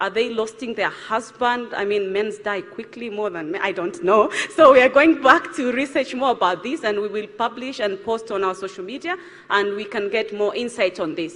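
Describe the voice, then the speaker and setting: A woman with a fairly high voice and lively intonation talks against noticeable background noise. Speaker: charity founder. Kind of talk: panel discussion. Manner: fast.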